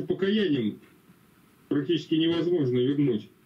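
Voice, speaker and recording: A man's fairly high-pitched voice with a dark, mellow tone, ordinary pitch variation and a moderate pace. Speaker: Bible study participant. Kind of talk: questions and prayer. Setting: video call. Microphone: video call.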